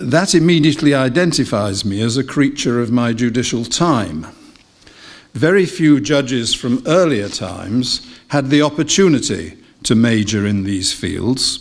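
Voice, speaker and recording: A man with an English accent speaks at a fairly slow pace with lively intonation. The background is quiet. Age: 70s. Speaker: retired judge. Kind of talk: lecture. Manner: formal. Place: hall. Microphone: podium.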